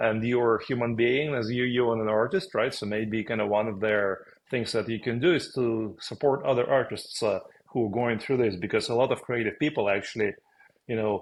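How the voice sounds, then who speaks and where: A man speaks at medium pitch and a fairly quick pace with ordinary pitch variation. He has a strong Russian accent. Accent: thick Russian. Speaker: podcast co-host, former business owner. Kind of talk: casual conversation.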